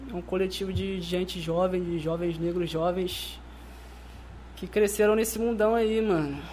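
Audible room echo surrounds a man's voice. His pitch is high, with ordinary variation. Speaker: rapper and music producer. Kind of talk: casual chat.

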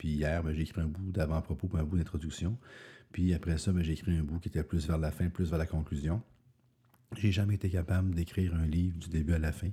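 The voice is somewhat breathy, with a dark, mellow tone and fairly even intonation. The recording is very clean, with a silent background. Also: man. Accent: Quebec. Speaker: podcaster and author. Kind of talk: solo podcast monologue. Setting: early morning recording. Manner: casual, hesitant with fillers.

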